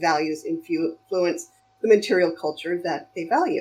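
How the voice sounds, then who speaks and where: A woman has an unremarkable speaking voice at a fairly low pitch. Her intonation is fairly even. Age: 50s. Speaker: costume sewing creator. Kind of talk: casual chat. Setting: voice call.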